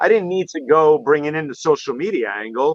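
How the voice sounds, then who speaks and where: At a moderate pace, a speaker with a Manhattan accent uses lively intonation, the sound dry and close with no echo. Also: man. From New York City, Manhattan. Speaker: photography show host, guest. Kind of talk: casual chat on a live stream.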